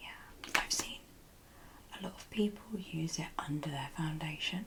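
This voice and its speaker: Whispering with a British accent, a woman speaks at a fairly slow pace with big swings in loudness, and noticeable background noise can be heard. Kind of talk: casual conversational answers in ASMR video.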